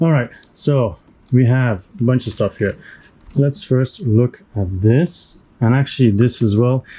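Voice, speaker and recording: Speaking at a fairly slow pace with a non-native accent, a man has a medium pitch, ordinary pitch variation, a somewhat breathy, dark, mellow tone and very even loudness. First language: not English. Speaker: board game unboxing youtuber. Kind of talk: unboxing video commentary. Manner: casual, with hesitations.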